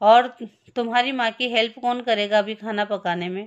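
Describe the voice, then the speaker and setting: A woman's voice against a quiet background. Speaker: school teacher. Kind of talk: lesson reading aloud with translation.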